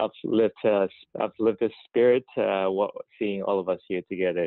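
A man with an ordinary speaking voice talks at a moderate pace and a fairly low pitch, his intonation fairly even. The sound is dry with no echo, and the background is quiet. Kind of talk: presentation to students. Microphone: video call.

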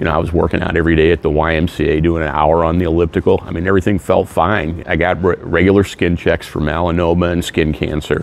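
With a very deep, low pitch and monotone, flat intonation, a man rushes along at a very fast pace with hardly any pauses in a dry sound with no echo. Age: 60s. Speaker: cancer survivor. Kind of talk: interview answer. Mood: earnest, grateful. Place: hall.

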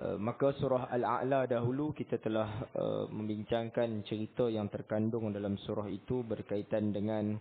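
A man with an ordinary speaking voice, fairly low in pitch, at a fairly slow pace with fairly even intonation. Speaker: religious teacher. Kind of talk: religious lecture. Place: church.

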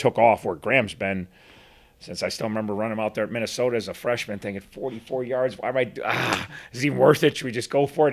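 Speaking at a fast pace, a man has a medium pitch, ordinary pitch variation and a fairly bright tone.

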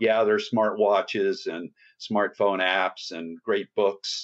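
A man with an American accent, fairly low pitch, monotone and flat intonation, and a very slow pace. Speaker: fitness trainer and author. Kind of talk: podcast interview.

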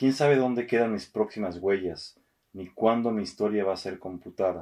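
Against a quiet background, a man with a fairly low voice speaks with ordinary pitch variation. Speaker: radio host and poetry reader. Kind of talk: poetry reading, read aloud in a theatrical actor's delivery. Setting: studio recording. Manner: measured, expressive, slow and intimate. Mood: calm, intimate.

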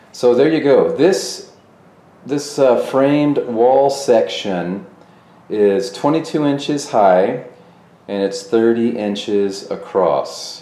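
A man speaks at a very slow pace. Audible room echo can be heard. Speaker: fitness channel host. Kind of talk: commentary. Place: gym.

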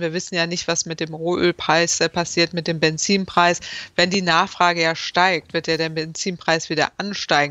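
A woman speaks in a monotone, flat way, with a dry sound and no echo. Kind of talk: interview answer. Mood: critical, matter-of-fact. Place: home room. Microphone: video call.

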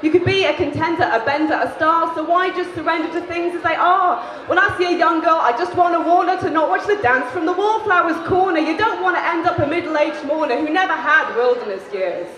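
A woman's extremely high voice at a fairly quick pace with ordinary pitch variation and hardly any pauses, amid light background noise and audible room echo. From England. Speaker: spoken word poet. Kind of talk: live spoken word poetry performance. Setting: live venue. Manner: shouty. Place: stage. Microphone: handheld.

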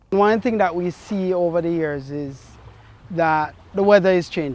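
Fairly slow speech from a man with a high voice, dry sound with no echo. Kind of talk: interview answer. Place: waterside. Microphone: lapel.

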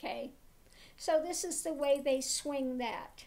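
A woman speaks at a high pitch and a fairly slow pace. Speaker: tarot reader, spiritual teacher. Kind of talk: casual talk to camera. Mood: concerned, critical. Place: home room. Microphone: webcam.

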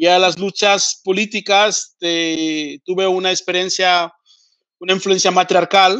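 Fairly slow and monotone, a man speaks with flat intonation. His pitch is high. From Spain. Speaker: pan-Africanist activist and TV presenter. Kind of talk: interview lecture.

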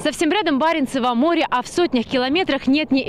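A woman with lively intonation, dry sound with no echo, light background noise. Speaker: TV news correspondent. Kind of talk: news report stand-up. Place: open country. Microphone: handheld.

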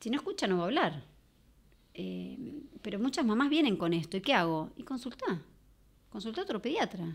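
A woman speaks at a moderate pace with long, frequent pauses. Her pitch swings very widely, and vocal fry comes through. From Argentina. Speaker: mother of a deaf child; podcast guest. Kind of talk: personal testimony. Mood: earnest, reflective. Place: studio. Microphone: studio mic.

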